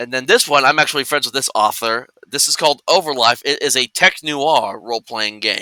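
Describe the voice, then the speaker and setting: A man speaks loudly and at a fairly quick pace with hardly any pauses, his fairly high pitch showing ordinary variation and a bright, sharp tone, in a dry, close sound with no echo on a very clean recording with a silent background. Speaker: tabletop RPG streamer. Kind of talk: casual chat.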